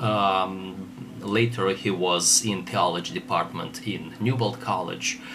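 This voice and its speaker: In a Russian accent, a man speaks at a very slow pace with a fairly low pitch. Noticeable background noise runs underneath. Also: ordinary pitch variation. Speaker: theologian. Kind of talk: lecture. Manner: halting.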